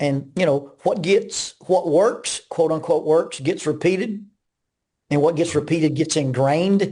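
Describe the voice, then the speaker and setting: Over a quiet background, a man with a dark, mellow tone speaks at a fairly slow pace in a fairly high pitch, with ordinary pitch variation and very even loudness. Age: 60s. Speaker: minister and counselor. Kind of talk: interview conversation. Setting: podcast interview.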